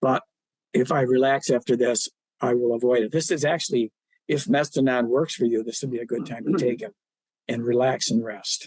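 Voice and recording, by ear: A man puts on a raspy character voice at medium pitch. He moves at a fairly quick pace with ordinary pitch variation.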